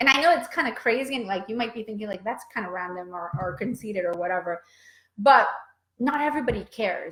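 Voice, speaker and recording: Talking at a very fast pace, a woman uses lively intonation in a fairly high pitch. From Venezuela. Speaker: brand strategy coach. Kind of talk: motivational vlog talk. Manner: animated, filler-heavy.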